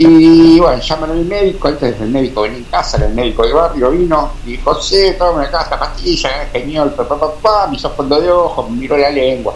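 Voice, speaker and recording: Someone speaks at a fairly quick pace amid noticeable background noise and audible room echo. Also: man. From Argentina, Beccar (Buenos Aires province). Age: 60s. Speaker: amateur radio operator. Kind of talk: interview storytelling. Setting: radio studio, live stream. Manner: halting, many fillers.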